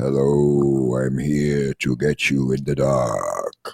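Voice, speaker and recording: A man does a put-on character voice with a very deep, low pitch. His delivery is monotone and flat, at a very slow pace. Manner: menacing.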